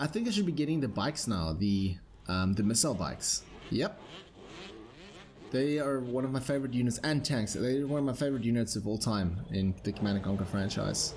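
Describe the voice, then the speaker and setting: A man talks at a fairly quick pace. His somewhat breathy voice holds a very even loudness. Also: medium pitch for a man, lively intonation. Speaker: gaming YouTuber. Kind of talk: gameplay commentary. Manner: casual, hesitant with many fillers.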